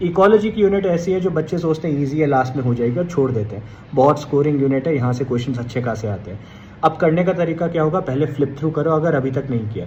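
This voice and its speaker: Fairly high in pitch, a man's voice has a dark, mellow tone and is somewhat breathy. He talks at a moderate pace with lively intonation. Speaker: exam coaching educator. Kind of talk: tutorial.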